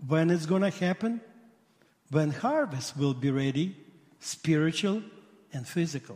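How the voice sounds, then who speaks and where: The speaker has a strong Russian accent and lively intonation. The pace is fairly slow, with long, frequent pauses. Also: man, fairly high pitch for a man. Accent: heavy Russian-accented English. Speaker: rabbi and missionary. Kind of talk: sermon. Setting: church. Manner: animated.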